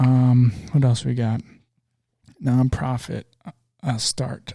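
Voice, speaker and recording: At a fairly slow pace, a man talks with medium pitch and fairly even intonation. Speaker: podcast host and small business owner. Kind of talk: solo podcast monologue. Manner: monotone; relaxed, not loud.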